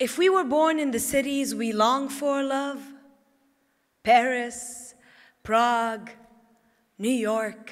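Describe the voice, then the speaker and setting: A woman with an Arabic accent speaks in a high pitch at a very slow pace, her intonation lively. Room echo is audible. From Lebanon (Tripoli). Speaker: poet. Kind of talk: poetry reading.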